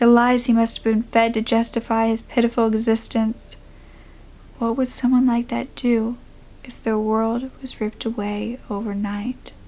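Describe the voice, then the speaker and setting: Somewhat breathy, a woman speaks in a fairly high voice with a dark, mellow tone and monotone, flat intonation. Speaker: creepypasta / true crime storyteller. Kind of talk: first-person horror story narration.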